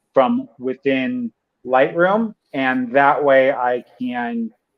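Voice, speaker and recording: A plain, everyday voice from a man with an American accent, fairly high pitch and ordinary pitch variation. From United States. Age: 30s. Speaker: tech video creator. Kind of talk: casual chat. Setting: livestream.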